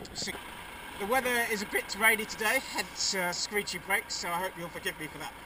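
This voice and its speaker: A woman speaks at a fairly quick pace with fairly even intonation, in a dry recording with no echo but noticeable background noise. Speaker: cyclist vlogger. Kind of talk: running commentary while cycling. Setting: outdoors on a bicycle with helmet camera. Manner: loud; hesitant with fillers. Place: bicycle.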